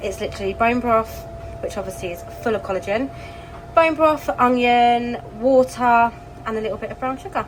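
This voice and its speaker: Speaking at a moderate pace with an English accent, a woman has a high pitch, ordinary pitch variation and big swings in loudness over noticeable background noise. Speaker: lifestyle vlogger. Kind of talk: casual vlog chat.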